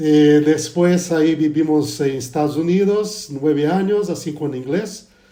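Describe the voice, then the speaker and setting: With a Portuguese accent, a man speaks at a fairly slow pace and fairly high pitch, with ordinary pitch variation and noticeable background noise. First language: Portuguese (speaking Spanish). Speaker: pastor. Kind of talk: casual religious discussion.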